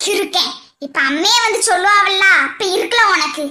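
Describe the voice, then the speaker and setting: A woman does a cartoonish character voice at an extremely high pitch. Her pitch varies in an ordinary way, and her pace is moderate. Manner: teasing.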